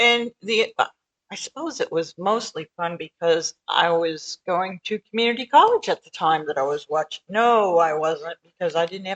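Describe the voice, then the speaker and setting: Dry and close with no echo, a woman's plain, everyday voice sits at medium pitch and moves at a moderate pace. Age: 60s. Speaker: podcast co-host. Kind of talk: casual chat.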